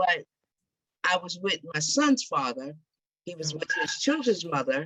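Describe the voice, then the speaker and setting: A woman speaks at a fairly slow pace. Her pitch shows ordinary variation. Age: 60s. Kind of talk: group discussion.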